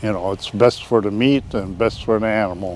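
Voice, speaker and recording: A man with an American accent, against noticeable background noise. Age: 80s+. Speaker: bison rancher. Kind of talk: casual interview. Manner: halting, many fillers.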